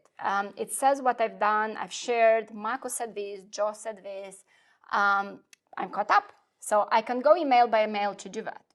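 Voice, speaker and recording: A speaker with a non-native accent talks at a moderate pace with fairly even intonation and big swings in loudness against a quiet background. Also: woman, fairly high pitch for a woman. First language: not English. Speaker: software product specialist. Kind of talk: product demo in a live webinar. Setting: live online webinar. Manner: hesitant, many fillers.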